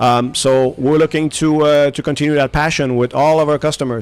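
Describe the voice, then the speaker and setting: Using fairly even intonation, a man with a French accent talks at a fairly quick pace. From Quebec, Montreal. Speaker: aviation engine company executive. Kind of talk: radio interview. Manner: halting, many fillers.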